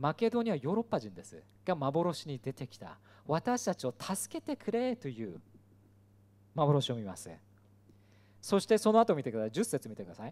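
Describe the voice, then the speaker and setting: A man talks at a moderate speed, stopping often for long pauses. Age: 40s. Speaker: pastor. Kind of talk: sermon. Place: hall. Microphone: handheld.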